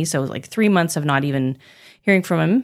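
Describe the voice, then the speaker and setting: A woman with a Pacific Northwest accent speaks at a very deep, low pitch with ordinary pitch variation. The recording is very clean, with a silent background. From Moscow, Idaho. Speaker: jazz singer and voice teacher. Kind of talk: casual chat.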